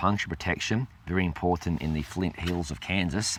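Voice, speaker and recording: A man talks at a fairly quick pace with ordinary variation in pitch. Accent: Australian. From South Australia, Adelaide. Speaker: cycling channel host. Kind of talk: Q&A video show. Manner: hesitant, many fillers.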